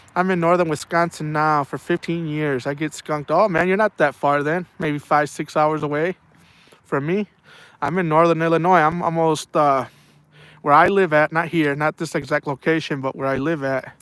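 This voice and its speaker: In an unremarkable speaking voice, a man talks at a moderate pace with fairly high pitch and fairly even intonation, the sound dry and close with no echo. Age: 40s. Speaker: fishing live streamer. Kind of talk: casual chat.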